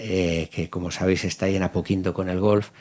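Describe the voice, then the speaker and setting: Keeping his intonation fairly even, a man talks at a fairly quick pace. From Spain. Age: 60s. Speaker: company founder and business owner. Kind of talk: interview. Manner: halting, with many false starts.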